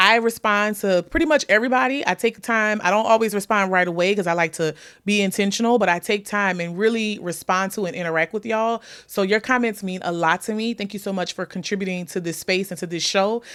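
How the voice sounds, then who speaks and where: A woman with a slight New Orleans accent talks at a very fast pace with hardly any pauses. Her tone is animated, her pitch variation ordinary, and the recording very clean with a silent background. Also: medium pitch for a woman. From US South, New Orleans. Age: 30s. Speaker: podcast host. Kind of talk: casual chat.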